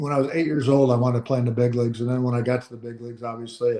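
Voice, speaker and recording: A man speaks in a medium pitch with an American accent. His tone is dark and mellow, and his intonation stays flat and monotone. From US West Coast, San Diego. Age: 70s. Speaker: former baseball player and manager. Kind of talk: casual interview.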